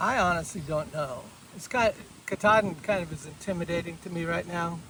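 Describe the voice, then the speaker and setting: A man with an American accent talks at a fairly quick pace in a high pitch. His loudness swings widely over noticeable background noise. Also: ordinary pitch variation. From Kansas, US Midwest. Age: 60s. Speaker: long-distance hiker. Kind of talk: casual interview.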